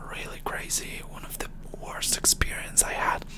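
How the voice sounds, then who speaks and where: Whispered speech comes through noticeable background noise. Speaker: ASMR creator. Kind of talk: casual Q&A talk to camera.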